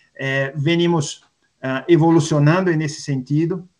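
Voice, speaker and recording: Speaking at a very slow pace, a man with a Brazilian accent shows ordinary pitch variation. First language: Portuguese (speaking Spanish). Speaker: industrial gas company executive. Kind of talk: panel discussion. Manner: mixes Portuguese and Spanish.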